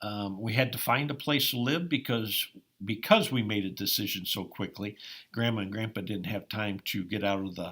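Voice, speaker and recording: A man with an Upper Midwest accent speaks at a moderate pace with fairly low pitch and ordinary pitch variation. His tone is bright and sharp, on a very clean recording with a silent background. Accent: Upper Midwest American. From Iowa, US Midwest. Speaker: farmer and former college basketball player. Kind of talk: interview. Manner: frequent hesitations with um.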